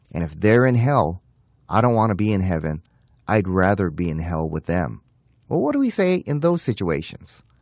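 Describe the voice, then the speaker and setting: Over a quiet background, a man with a normal speaking voice talks at a moderate pace, his fairly low pitch carrying lively intonation. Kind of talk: radio Bible teaching.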